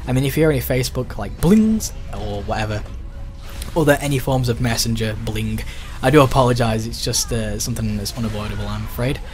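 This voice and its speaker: With music in the background and audible room echo, a man speaks at a fairly quick pace. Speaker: gaming youtuber. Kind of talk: gameplay commentary. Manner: fast.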